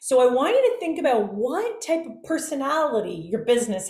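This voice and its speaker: A woman's voice with very wide pitch swings, audible room echo and noticeable background noise. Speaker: business coach and workshop speaker. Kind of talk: online workshop presentation. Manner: animated.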